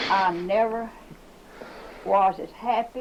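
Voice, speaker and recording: A woman with a Southern US accent speaks over noticeable background noise. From US South. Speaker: retired schoolteacher. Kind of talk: oral history interview.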